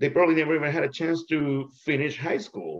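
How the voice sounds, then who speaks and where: A man talks at a moderate pace. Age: 40s. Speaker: public health worker. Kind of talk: casual chat. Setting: video call. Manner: animated.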